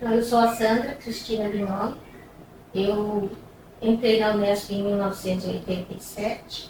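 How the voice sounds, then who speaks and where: A woman speaks at a medium pitch in a flat, monotone way, with long and frequent pauses. Noticeable background noise and audible room echo surround her. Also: moderate pace. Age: 60s. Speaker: university academic. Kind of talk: documentary interview.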